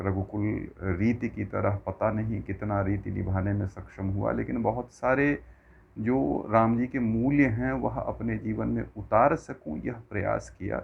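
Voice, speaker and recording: A man with a Bihar accent, a fairly low pitch, lively intonation and hardly any pauses. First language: Maithili (speaking Hindi). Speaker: religious discourse speaker. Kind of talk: religious discourse. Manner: formal.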